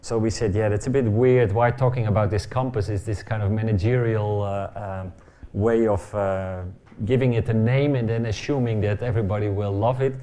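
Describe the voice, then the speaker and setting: A man's fairly low, dark, mellow voice with a Dutch accent and fairly even intonation, plus audible room echo. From Netherlands. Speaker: architect. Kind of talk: lecture. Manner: fast; halting.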